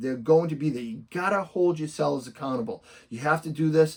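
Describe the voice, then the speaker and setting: Over a quiet background, a man with a Boston accent talks at a fairly quick pace in a fairly high voice. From Boston area, US. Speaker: real estate investor and coach; coach. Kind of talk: tutorial. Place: home room.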